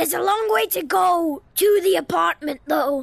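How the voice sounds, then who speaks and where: A man puts on a character voice at an extremely high pitch. His pitch swings very widely at a moderate pace. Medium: machinima. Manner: exasperated, blunt.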